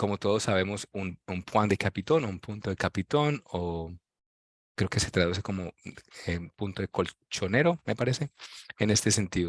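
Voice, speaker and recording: The sound is dry and close with no echo and a quiet background, as a man with a fairly low pitch speaks at a moderate pace with ordinary pitch variation. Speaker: professor. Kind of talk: lecture. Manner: reading aloud from text.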